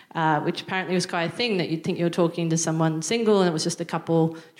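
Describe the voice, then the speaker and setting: A woman with an Australian accent speaks in a fairly low pitch. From Australia, Newcastle NSW. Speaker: stand-up comedian. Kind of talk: stand-up. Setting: stage with audience. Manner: halting.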